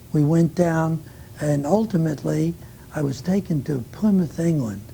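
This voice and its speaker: A man speaks at a moderate pace with a New York accent, his fairly high voice showing ordinary pitch variation. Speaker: war veteran. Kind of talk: oral history interview. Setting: recorded interview.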